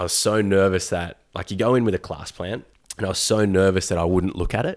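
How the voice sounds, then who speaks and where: The speaker has an Australian accent and a fairly quick pace. The intonation is fairly even. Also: man, very deep, low pitch for a man, very clean recording, silent background. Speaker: yoga teacher, former electrician. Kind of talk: casual chat.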